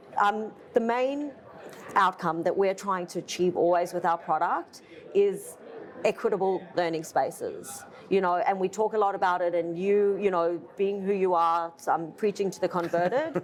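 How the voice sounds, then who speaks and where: Delivered at a moderate pace with ordinary pitch variation, the voice has an Australian accent. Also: woman, medium pitch for a woman. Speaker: furniture company owner. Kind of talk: interview. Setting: trade conference.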